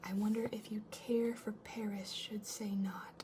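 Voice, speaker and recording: Soft-spoken, fairly slow speech over noticeable background noise. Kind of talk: ASMR letter reading, soft-spoken. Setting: home recording with a fridge humming in the background. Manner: soft-spoken, cozy.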